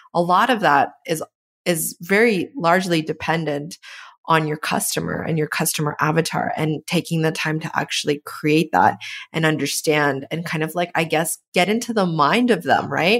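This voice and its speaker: Recorded very cleanly with a silent background, a woman with a Canadian accent speaks at a moderate pace and a fairly low pitch in an unremarkable speaking voice. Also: ordinary pitch variation. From Canada. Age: 30s. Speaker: podcast host. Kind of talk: interview.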